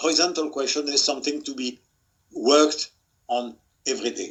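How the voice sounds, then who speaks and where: Speaking at a moderate pace with a French accent, a man uses a fairly high pitch and fairly even intonation. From France. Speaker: museum expert, author. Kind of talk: webinar talk. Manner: halting, many repetitions.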